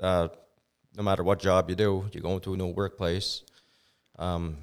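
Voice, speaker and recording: A man with a Maritime Canadian accent speaks in a very deep, low pitch. His intonation is monotone and flat, and the recording is very clean with a silent background. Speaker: business owner. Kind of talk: interview.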